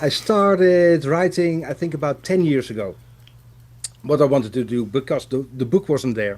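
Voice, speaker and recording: This man's intonation is lively. He has a Dutch accent. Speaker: watchmaker, author and teacher. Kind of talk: casual interview chat.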